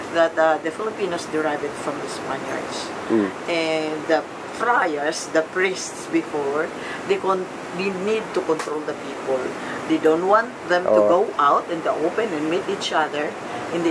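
A woman speaks at a moderate pace with ordinary pitch variation. Noticeable background noise sits behind her. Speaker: host family member. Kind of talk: casual storytelling. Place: kitchen. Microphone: phone near.

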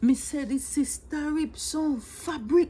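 A woman with a Jamaican accent speaks very slowly in a bright, sharp tone. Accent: Jamaican Patois. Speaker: storyteller. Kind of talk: humorous storytelling. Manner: playful, conversational. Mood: exaggerated, animated, dramatic. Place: home room. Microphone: phone near.

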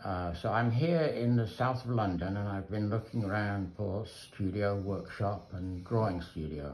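A man talks at a fairly slow pace in a fairly low pitch, somewhat breathy, with hardly any pauses. His pitch variation is ordinary, and there is light background noise. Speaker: sculptor. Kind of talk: casual chat. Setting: studio. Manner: halting. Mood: admiring, relaxed. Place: workshop. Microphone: phone near.

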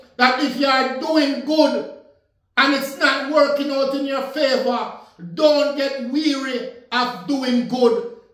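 In a quiet background with audible room echo, a man speaks very slowly at an extremely high pitch for a man, his intonation monotone and flat. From Jamaica. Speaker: minister. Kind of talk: sermon. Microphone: phone near.

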